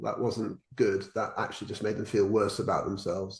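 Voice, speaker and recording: Somewhat breathy, a man with a southern English accent talks at a fairly quick pace. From England. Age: 60s. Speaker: educational consultant and former headteacher. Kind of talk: casual interview chat. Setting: remote call. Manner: hesitant, with frequent repetitions.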